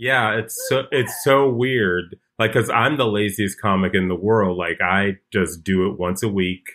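A man with a plain, everyday voice and an American accent speaks at a fairly slow pace and fairly low pitch, with ordinary pitch variation and hardly any pauses. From Chicago. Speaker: comedian. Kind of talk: casual chat.

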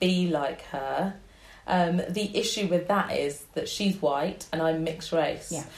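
A somewhat breathy woman with a London accent, fairly low pitch, fairly even intonation and a fairly slow pace. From North London (Wembley). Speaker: blogger and body positivity campaigner. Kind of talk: interview conversation.

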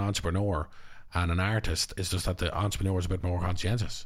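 Very fast and somewhat breathy, a man talks in a very deep, low voice. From Ireland. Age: 30s. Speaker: actor and filmmaker. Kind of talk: casual chat. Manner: animated.

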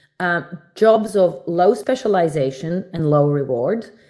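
The speaker has a non-native accent and lively intonation. The background is quiet. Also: woman. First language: not English. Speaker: banking executive and author. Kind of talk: interview.

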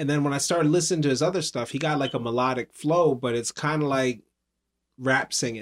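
An unremarkable speaking voice, a man's fairly high pitch moves with ordinary variation at a fairly quick pace. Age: 30s. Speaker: podcast host. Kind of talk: casual podcast interview.

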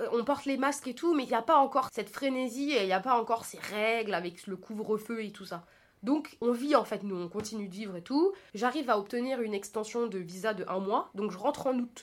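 A woman with a plain, everyday voice talks at a fairly quick pace, her fairly high pitch varying in an ordinary way amid big swings in loudness. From France, Paris region. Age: 20s. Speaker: podcast host. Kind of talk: solo personal monologue. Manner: casual, chatty.

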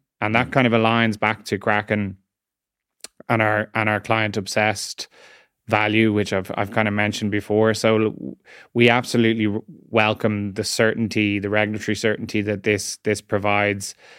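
Fairly low in pitch, a man speaks at a moderate pace with monotone, flat intonation in a dry, close sound with no echo. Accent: Irish. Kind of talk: interview. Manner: hesitant, many fillers and repeats.

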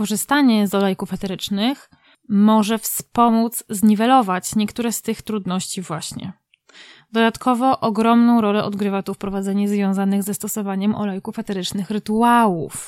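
In a normal speaking voice, a woman talks at a moderate pace and a fairly high pitch, with fairly even intonation. The sound is dry and close with no echo, a very clean recording with a silent background. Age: 30s. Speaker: podcast host. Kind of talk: scripted narration; interview.

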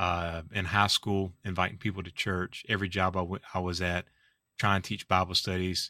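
A bright, sharp voice with a South Carolina accent, flat and monotone at a fairly quick pace, dry and close with no echo in a very clean recording over a silent background. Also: man. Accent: Southern US (South Carolina). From US South, Orangeburg, South Carolina. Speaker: pastor. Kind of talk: podcast interview.

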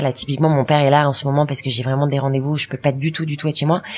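With a monotone, flat intonation, a woman speaks at a very deep, low pitch. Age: 30s. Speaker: entrepreneur. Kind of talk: interview. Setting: stage with audience. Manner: fast.

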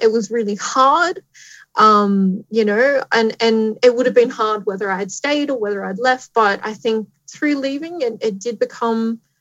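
Speaking at a moderate pace, a woman with an Australian accent uses a fairly high pitch. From Australia, Tamworth New South Wales. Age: 30s. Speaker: astronomer and science communicator. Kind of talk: live-streamed interview. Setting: live stream to schools.

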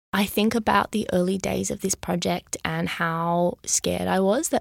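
A woman speaks with an Australian accent at a moderate pace. The sound is dry and close, with no echo. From Sydney, Australia. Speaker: musical theatre creator. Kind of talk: interview. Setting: studio.

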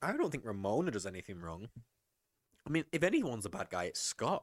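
A man with an English accent talks at a very fast pace, his pitch swinging very widely, in a dry, close recording with no echo that is very clean against a silent background. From England. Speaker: film podcast co-host. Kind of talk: casual chat.

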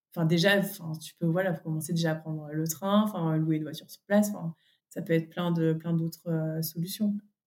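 A woman's fairly low voice at a fairly quick pace, monotone and flat, with big swings in loudness. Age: 30s. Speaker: podcast guest, mother. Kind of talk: casual interview. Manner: hesitant, many fillers.

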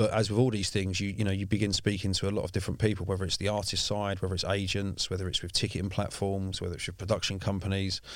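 The voice moves at a very fast pace in a monotone, flat intonation, on a very clean recording with a silent background. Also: man, fairly low pitch for a man. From South East London. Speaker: music executive. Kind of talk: casual interview. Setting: studio. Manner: self-conscious about voice.

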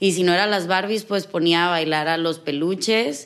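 Here is a woman with a normal speaking voice at medium pitch. Her pace is moderate and her pitch varies in an ordinary way. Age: 20s. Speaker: dance teacher. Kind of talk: interview.

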